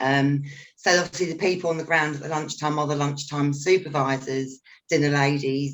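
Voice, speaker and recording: The speaker talks at a moderate pace in a London accent. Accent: regional London. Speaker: school mediation trainer. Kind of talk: panel discussion.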